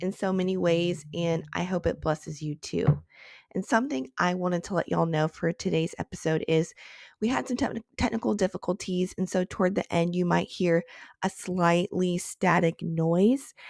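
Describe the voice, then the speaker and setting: A woman with an American accent and fairly low pitch speaks at a moderate pace with ordinary pitch variation, the sound dry and close with no echo on a very clean recording with a silent background. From Texas. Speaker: podcast host. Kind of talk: casual interview conversation. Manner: upbeat, enthusiastic.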